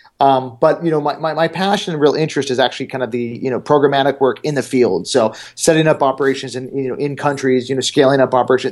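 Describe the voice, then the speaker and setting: Speaking very fast with a General American accent, a man keeps to a medium pitch with ordinary pitch variation. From Arizona. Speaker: international development consultant. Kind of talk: interview. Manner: halting, many fillers.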